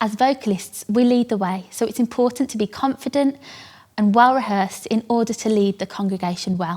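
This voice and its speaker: A woman's somewhat breathy, fairly high-pitched voice. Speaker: worship vocalist and teacher. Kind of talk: scripted tutorial.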